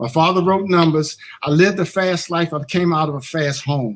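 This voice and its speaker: A man's plain, everyday voice at a fairly quick pace, with ordinary pitch variation. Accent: American. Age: 60s. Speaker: associate minister. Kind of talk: testimony. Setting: church.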